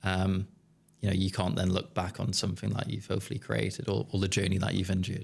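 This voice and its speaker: A man with a slight Geordie accent talks at a very fast pace with a very deep, low pitch and vocal fry. His intonation is fairly even and his loudness very even. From northeast England, Newcastle. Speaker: business founder. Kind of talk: podcast interview. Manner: hesitant, many fillers.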